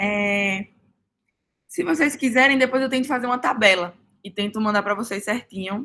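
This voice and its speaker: A woman's bright, sharp voice, fairly high in pitch, with ordinary pitch variation, a moderate pace and long, frequent pauses. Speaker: student tutor. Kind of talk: study group review.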